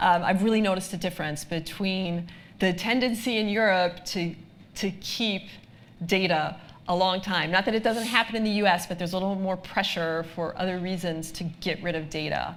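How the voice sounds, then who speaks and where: A woman uses a normal speaking voice with an American accent. Her medium pitch carries fairly even intonation at a moderate pace. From United States. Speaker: lawyer, data protection expert. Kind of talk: live presentation Q&A. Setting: live event with audience. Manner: frequent filler ums.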